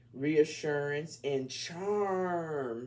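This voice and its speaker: Animated in tone, a man with a slight Southern US accent speaks at a fairly high pitch. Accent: slight Southern country accent coming out. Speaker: tarot reader. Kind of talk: tarot reading. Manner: casual, animated.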